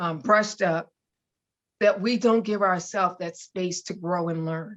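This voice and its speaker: This woman speaks at a fairly slow pace. Her pitch is medium, with ordinary pitch variation. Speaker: author and entrepreneur, ministry founder. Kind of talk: podcast interview. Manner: loud.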